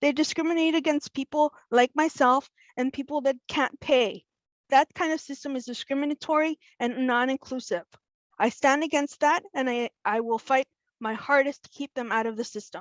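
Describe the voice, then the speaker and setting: A woman with an American accent speaks at a high pitch, in a dry, close sound with no echo. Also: ordinary pitch variation, moderate pace. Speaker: school board candidate. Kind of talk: candidate pitch speech. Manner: impassioned.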